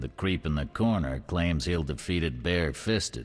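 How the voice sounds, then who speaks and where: A put-on character voice from a man, very deep and low, with lively intonation at a moderate pace over background music. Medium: video game. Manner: curt, commanding.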